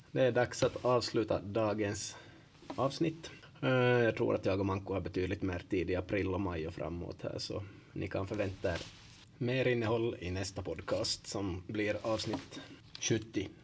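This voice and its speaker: Somewhat breathy and fairly low in pitch, a man speaks at a fairly slow pace with ordinary pitch variation. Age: 30s. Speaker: football coach and podcast host. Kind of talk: casual podcast talk.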